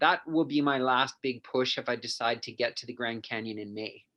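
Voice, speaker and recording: A man with a western Canadian accent speaks at a fairly quick pace in a bright, sharp tone. His medium pitch shows ordinary variation against a quiet background. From western Canada (Penticton, BC). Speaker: endurance coach and athlete. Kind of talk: casual interview chat.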